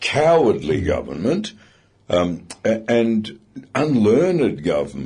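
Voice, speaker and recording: A man with a dark, mellow tone and vocal fry talks at a very slow pace. His medium pitch moves in very wide swings. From Britain. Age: 70s. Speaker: radio talkback commentator. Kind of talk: talkback radio discussion. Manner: animated.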